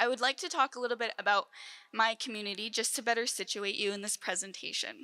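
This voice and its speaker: A woman's fairly high voice, bright and sharp in tone, in a dry, close sound with no echo. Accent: western Canadian. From southeastern British Columbia, Canada. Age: 20s. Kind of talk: keynote presentation. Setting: conference stage at podium.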